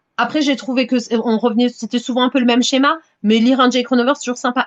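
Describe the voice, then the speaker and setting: A woman speaks against a quiet background. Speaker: romance novelist. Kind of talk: casual interview chat. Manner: hesitant, many repetitions and fillers.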